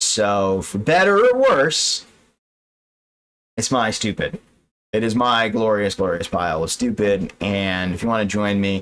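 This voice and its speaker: Pausing long and often, a man speaks at a fairly slow pace in a fairly low pitch with ordinary pitch variation. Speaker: finance streamer reacting to videos. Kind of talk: live stream commentary. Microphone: poor audio quality with echo.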